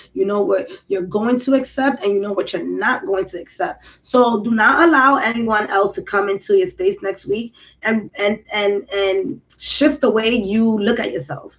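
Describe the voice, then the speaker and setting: A somewhat breathy woman's voice with very wide pitch swings. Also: fairly high pitch for a woman, moderate pace, hardly any pauses. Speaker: tarot reader. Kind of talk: tarot reading monologue. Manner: animated.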